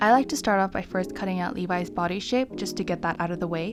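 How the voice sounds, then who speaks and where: A woman's fairly quick speech is accompanied by background music. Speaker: craft YouTuber. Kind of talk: tutorial. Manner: fast; casual, filler-heavy.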